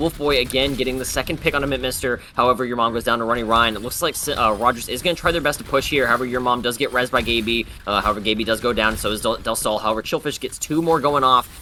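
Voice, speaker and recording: The talk runs at a very fast pace with hardly any pauses and ordinary pitch variation, over noticeable background noise. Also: man, medium pitch for a man. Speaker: esports caster. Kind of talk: live commentary. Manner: stuttering.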